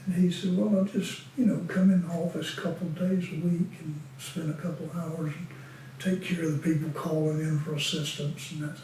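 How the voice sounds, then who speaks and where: Speaking at a fairly quick pace with fairly even intonation, a man with a high voice comes through noticeable background noise and audible room echo. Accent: American. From Western North Carolina (Winston-Salem). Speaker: retired deacon. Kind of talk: oral history interview. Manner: halting.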